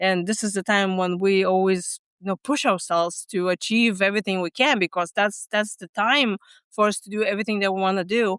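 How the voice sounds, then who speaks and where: The recording is very clean, with a silent background and a dry, close sound with no echo. A woman with a Lithuanian accent speaks at medium pitch with fairly even intonation. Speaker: stress management coach. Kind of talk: podcast interview. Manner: halting, with many fillers.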